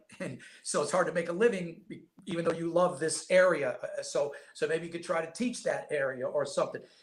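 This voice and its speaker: A man with a New York accent at a fairly quick pace. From upstate New York. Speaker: basketball scout and former coach. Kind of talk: podcast interview. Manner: fast.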